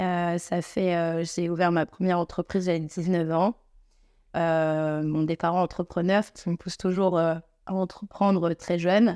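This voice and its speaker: On a very clean recording with a silent background and a dry, close sound with no echo, a woman speaks fairly slowly in a dark, mellow tone, her fairly low pitch held monotone and flat. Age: 30s. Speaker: beauty salon entrepreneur. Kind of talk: podcast interview. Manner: halting, many filler euhs.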